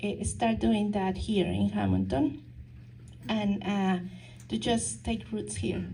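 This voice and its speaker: A woman with a non-native accent at a moderate pace, in audible room echo. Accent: foreign accent, noticeable. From Mexico. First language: Spanish. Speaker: counselor and nonprofit founder. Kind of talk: talk to a local society. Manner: halting, many fillers and restarts.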